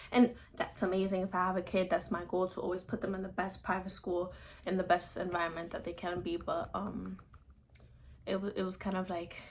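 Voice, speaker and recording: Somewhat breathy, a woman at a medium pitch talks at a fairly quick pace with monotone, flat intonation. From Dominican Republic. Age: young. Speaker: college student. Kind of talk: casual talk to camera.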